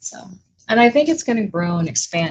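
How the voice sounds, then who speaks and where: With a somewhat breathy, medium-pitched voice, a woman talks at a moderate pace. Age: 60s. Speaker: small business owner and furniture refinisher. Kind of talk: casual livestream chat.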